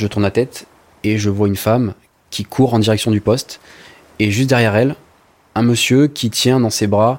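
At a moderate pace, a man with a medium pitch speaks with fairly even intonation and long, frequent pauses. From southern France, Var coast (Sanary-sur-Mer). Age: 20s. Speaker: lifeguard and nursing student. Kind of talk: testimony.

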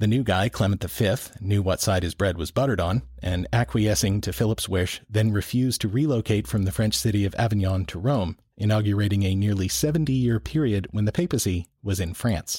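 On a very clean recording with a silent background, a man talks fairly quickly with hardly any pauses and lively intonation. His voice is fairly low, somewhat breathy and dark and mellow in tone. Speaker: podcast host. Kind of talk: scripted narration with co-host banter.

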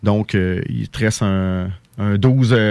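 In a very clean recording with a silent background, a man talks at a fairly low pitch with fairly even intonation. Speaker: poultry supply business owner. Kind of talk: radio interview.

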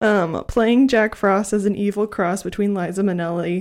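A woman speaks at medium pitch in a plain, everyday voice, her intonation fairly even. Her pace is moderate, and the recording is very clean with a silent background. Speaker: movie podcast co-host. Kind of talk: casual chat. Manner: laughs often.

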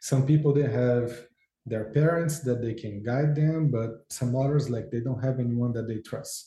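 A somewhat breathy voice with a Brazilian Portuguese accent, a dark, mellow tone, fairly even intonation, a moderate pace and audible room echo. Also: man, medium pitch for a man. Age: 40s. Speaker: football agent. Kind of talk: interview.

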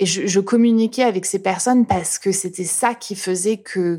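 Recorded very cleanly against a silent background, a woman speaks at a moderate pace in a dark, mellow tone with fairly even intonation. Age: 30s. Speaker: YouTube content creator. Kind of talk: testimony. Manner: casual, hesitant with repetitions.

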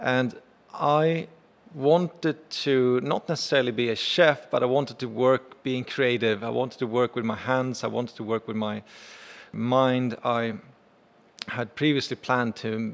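A man talks at a medium pitch and a fairly slow pace with fairly even intonation. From Sweden. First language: Swedish. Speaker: chef and restaurant owner. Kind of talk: interview.

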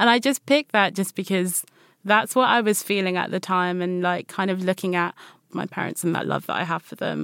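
A woman with a British accent, medium-pitched, fairly quick, with ordinary pitch variation and a dry, close sound with no echo. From DR Congo, raised in the UK. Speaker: multidisciplinary artist. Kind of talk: casual interview chat. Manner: casual, filler-heavy.

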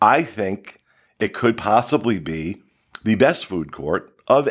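A man at a medium pitch with very wide pitch swings, a fairly slow pace and a quiet background. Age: 50s. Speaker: podcast host. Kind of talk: casual chat. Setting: studio.

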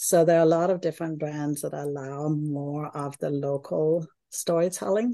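Against a quiet background, a woman with a Danish accent speaks at a moderate pace in a dark, mellow tone, her very deep, low pitch showing ordinary variation. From Denmark. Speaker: architect and hotel designer. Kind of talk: casual interview.

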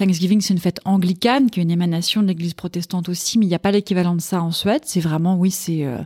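Very fast and with hardly any pauses, a woman speaks in a somewhat breathy, dark, mellow voice of fairly low pitch and ordinary variation, the sound dry and close with no echo. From Paris, France. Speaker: food journalist and columnist. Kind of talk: casual interview chat.

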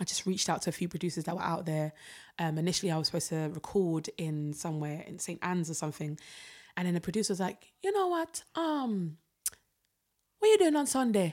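A woman in a South London accent talks at a very fast pace, with a fairly low pitch and ordinary pitch variation. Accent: South London English, Jamaican heritage. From London, Peckham. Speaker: singer and creative director. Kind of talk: casual chat.

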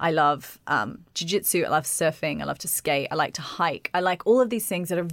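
Recorded very cleanly against a silent background, a woman with a fairly low pitch uses lively intonation and vocal fry. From Australia. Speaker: personal trainer and yoga teacher. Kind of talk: casual interview chat.

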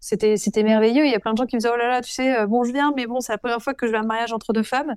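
In a very clean recording with a silent background, a woman speaks very fast at a fairly high pitch with fairly even intonation. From France, Avignon (Provence). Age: 30s. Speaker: speaker and author. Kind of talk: interview testimony.

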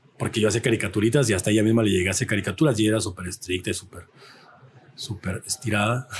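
A man with a fairly low voice talks at a very fast pace, sounding somewhat breathy. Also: fairly even intonation. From Mexico, Jalisco (rural ranch near Zapotlanejo). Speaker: artist. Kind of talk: casual chat. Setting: brewery.

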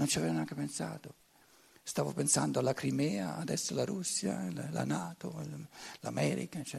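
A man with a German accent, at a moderate pace. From Germany. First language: German (speaking Italian). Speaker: lecturer. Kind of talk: lecture. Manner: halting, frequent repetitions.

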